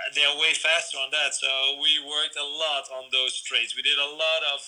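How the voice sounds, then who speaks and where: A man with a fairly high pitch and monotone, flat intonation, at a moderate pace amid noticeable background noise. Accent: Dutch. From Netherlands. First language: Dutch. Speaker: BMX coach. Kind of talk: interview. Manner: halting.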